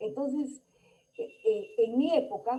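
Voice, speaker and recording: A woman's voice has a dark, mellow tone with vocal fry. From Peru, Lambayeque. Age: 70s. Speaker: conference speaker. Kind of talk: lecture.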